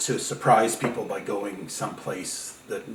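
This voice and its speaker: A man talks at a moderate speed, his voice carrying audible room echo and noticeable background noise. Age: 60s. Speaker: filmmaker. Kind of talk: interview. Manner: halting.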